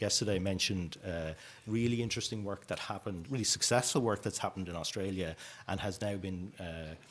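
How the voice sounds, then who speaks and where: A man with an Irish accent, fairly low pitched, very fast, with ordinary pitch variation on a very clean recording with a silent background. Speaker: youth homelessness policy speaker. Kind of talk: conference presentation.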